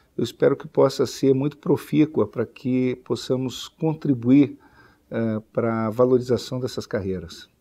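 A man talks at a fairly slow pace in a dark, mellow tone. His medium pitch shows ordinary variation. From southern Brazil (Rio Grande do Sul). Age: 40s. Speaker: lawyer and government official. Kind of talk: interview statement. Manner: formal; halting. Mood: calm, formal, measured. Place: office. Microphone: lapel.

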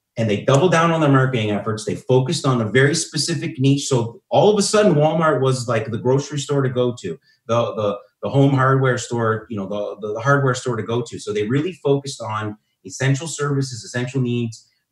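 A somewhat breathy man speaks at a fairly quick pace with a medium pitch and ordinary pitch variation. The background is quiet, though room echo is audible. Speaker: marketing speaker. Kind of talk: webinar presentation. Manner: fast-talking, energetic. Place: home room. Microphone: webcam.

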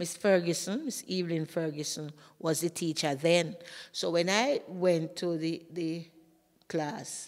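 A woman with a Jamaican accent speaks at a fairly slow pace and fairly low pitch, with ordinary pitch variation, against a quiet background. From Jamaica, St Thomas. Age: old. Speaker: retired teacher. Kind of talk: interview storytelling; interview answer, personal storytelling. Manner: halting. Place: classroom. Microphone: studio mic.

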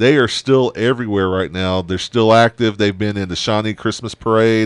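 The speech moves at a moderate pace with fairly even intonation, recorded dry with no echo against a quiet background. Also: man. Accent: American. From Oklahoma. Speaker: radio show host. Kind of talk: casual chat; news reading. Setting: studio. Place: studio. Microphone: studio mic.

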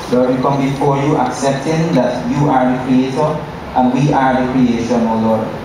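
A man is speaking in strong room echo. Noticeable background noise runs underneath. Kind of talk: prayer. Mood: solemn, earnest. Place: church. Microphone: pa.

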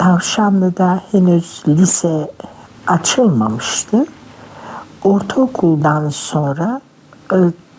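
A woman at medium pitch with lively intonation, speaking at a very slow pace with long, frequent pauses, over noticeable background noise. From Kütahya, Turkey. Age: 70s. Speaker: retired literature teacher. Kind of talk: interview answer.

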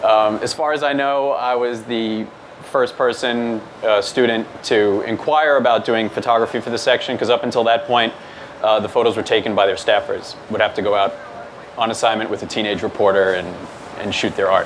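Over light background noise, a man with an American accent speaks fairly quickly at a medium pitch with fairly even intonation. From New York, Staten Island; New York. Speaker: news photographer. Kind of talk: presentation. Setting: meetup with audience. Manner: many fillers (um, uh). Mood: relaxed, lightly humorous. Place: hall.

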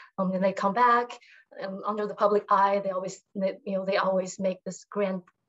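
Her intonation is monotone and flat. The woman speaks at a fairly quick pace over a quiet background. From Taiwan, Taipei; Taiwan. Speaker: writer. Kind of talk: panel discussion answer. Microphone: video call.

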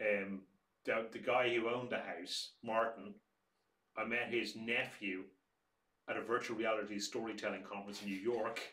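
In an Irish accent, a man with a bright, sharp tone speaks at a moderate pace in a monotone, flat way, pausing long and often amid audible room echo. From Ireland. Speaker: museum director; museum storyteller or director. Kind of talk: casual chat.

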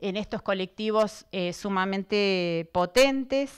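A woman with a Buenos Aires accent at a very slow pace, with ordinary pitch variation, against a quiet background. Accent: Argentine Spanish (Buenos Aires province). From Argentina, Buenos Aires province interior. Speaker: professor. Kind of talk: lecture. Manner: partly reading from notes. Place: hall. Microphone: handheld.

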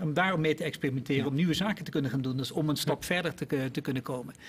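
A man speaks at a fairly high pitch. His voice is somewhat breathy. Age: 50s. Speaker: innovation executive; guest. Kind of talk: panel discussion. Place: studio. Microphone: podium.

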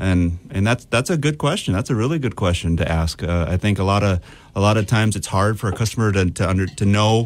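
Speaking in an ordinary speaking voice, a man with a fairly low pitch keeps a fairly quick pace and ordinary pitch variation. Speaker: mortgage lender; guest. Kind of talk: interview. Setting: studio. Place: studio.

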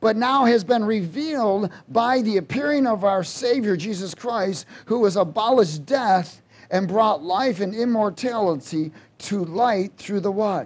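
A man's high-pitched voice, with ordinary pitch variation and a fairly slow pace. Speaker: preacher. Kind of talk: sermon. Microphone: headset.

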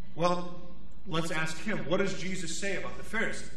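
A man with a high pitch speaks in a monotone, flat intonation amid light background noise and audible room echo. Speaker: priest. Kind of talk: sermon. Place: church. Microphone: podium.

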